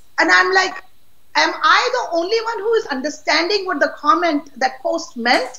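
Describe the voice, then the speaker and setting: A woman's extremely high, raised and projected voice with lively intonation, at a moderate pace over noticeable background noise. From Pakistan. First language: not English (Pakistani language). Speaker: political activist. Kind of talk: interview. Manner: outspoken; halting.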